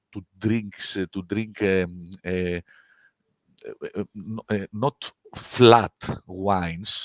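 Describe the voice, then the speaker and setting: A man speaks with a Greek accent in a fairly low pitch and a monotone, flat intonation. The sound is dry and close with no echo. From Greece. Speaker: winemaker. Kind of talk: online wine seminar presentation. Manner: halting.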